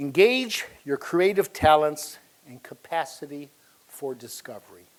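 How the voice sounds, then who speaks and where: A man with a plain, everyday voice talks fairly slowly at a fairly high pitch, his intonation lively. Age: 60s. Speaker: software company founder. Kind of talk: speech. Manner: formal.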